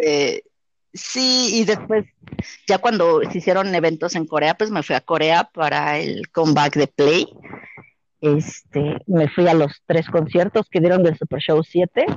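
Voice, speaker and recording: At a fairly slow pace, a woman speaks in a fairly low pitch with ordinary pitch variation. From Mexico City. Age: 30s. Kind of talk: casual chat. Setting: online group call.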